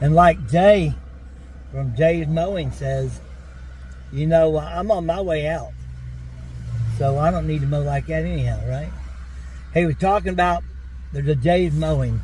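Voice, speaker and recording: Amid noticeable background noise and audible room echo, a man with an East Tennessee accent talks at a moderate pace with long, frequent pauses. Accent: East Tennessee Southern. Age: 60s. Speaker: lawn care business owner. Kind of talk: casual chat.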